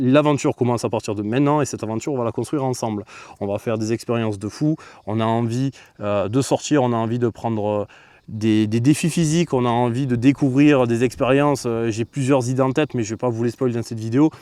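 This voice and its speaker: In a dark, mellow tone, a man at a medium pitch talks at a very fast pace with fairly even intonation. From Marseille. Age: 30s. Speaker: streamer. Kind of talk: casual vlog talk to camera. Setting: outdoors.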